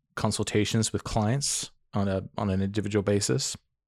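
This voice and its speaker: In a monotone, flat delivery, a man speaks at a fairly low pitch, the sound dry and close with no echo on a very clean recording with a silent background. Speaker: astrologer.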